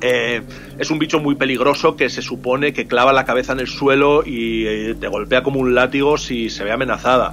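Over noticeable background noise, a man with a Castilian accent talks at a moderate pace and medium pitch, his intonation fairly even. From Spain, Salamanca. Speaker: illustrator and writer, former art professor. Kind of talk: interview, storytelling. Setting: remote call from home. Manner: halting, many repeated words.

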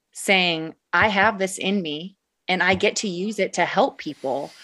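In a very clean recording with a silent background, a woman speaks in a normal speaking voice at a fairly slow pace, using a medium pitch and ordinary pitch variation. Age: 30s. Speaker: widow sharing grief journey. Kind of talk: casual chat.

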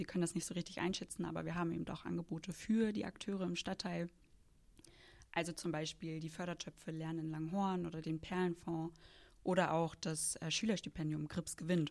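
A woman talks at a fairly quick pace with a plain, everyday voice, fairly low in pitch and fairly even in intonation. The recording is very clean, with a silent background. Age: 20s. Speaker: foundation project manager. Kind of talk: interview.

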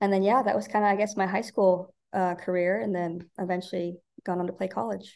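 In an American accent, a woman speaks with an unremarkable speaking voice at a medium pitch. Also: fairly even intonation, fairly quick pace. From Nebraska, Omaha. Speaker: college golf coach. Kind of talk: interview.

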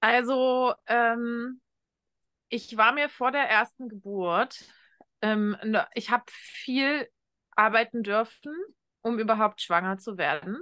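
Very slow and broken by long, frequent pauses, a woman's fairly high voice has a bright, sharp tone and ordinary pitch variation, with a dry, close sound with no echo and a quiet background. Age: 30s. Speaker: shamanic coach and mentor. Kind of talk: interview conversation.

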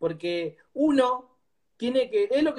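With lively intonation, the man talks at an extremely high pitch. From Argentina, Greater Buenos Aires (La Matanza). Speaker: cumbia singer and former footballer. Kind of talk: casual interview.

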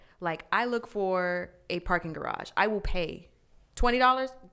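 In a very clean recording with a silent background, a woman with an American accent speaks with ordinary pitch variation. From Arizona (Glendale). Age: 30s. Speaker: podcast co-host. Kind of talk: casual chat.

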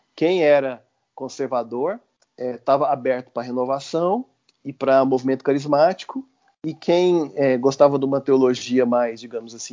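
It is a normal speaking voice. Delivery comes at a moderate pace. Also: man. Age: 40s. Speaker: law professor and public servant, liturgy resource creator. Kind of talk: podcast interview.

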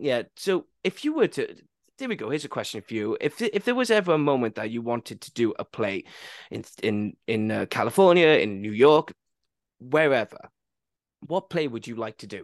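A man with a Welsh accent at a moderate pace, fairly high in pitch, with very wide pitch swings and big swings in loudness, over a quiet background. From Wales. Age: 20s. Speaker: podcast host. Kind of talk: casual chat.

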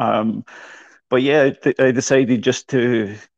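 A man with a Glasgow accent, medium-pitched, with vocal fry and fairly even intonation, in a dry, close sound with no echo. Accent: Scottish, Glasgow. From Scotland. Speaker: running coach. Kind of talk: casual interview.

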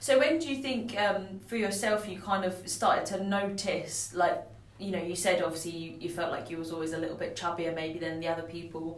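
Noticeable background noise and audible room echo surround a woman's voice. She speaks at a moderate pace and a fairly low pitch. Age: 20s. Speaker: podcast co-host. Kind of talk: casual chat.

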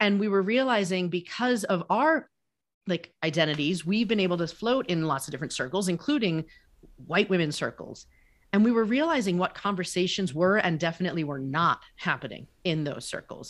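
Against a quiet background, an ordinary speaking voice moves at a fairly quick pace with lively intonation. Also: woman, medium pitch for a woman. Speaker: life coach, author, podcast co-host. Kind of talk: casual interview chat.

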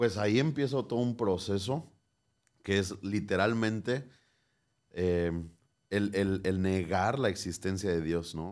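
Over a silent background on a very clean recording, a man with fairly low pitch speaks very slowly with ordinary pitch variation and long, frequent pauses. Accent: Mexican. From Mexico, Michoacán. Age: 20s. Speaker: pastor. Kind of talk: interview.

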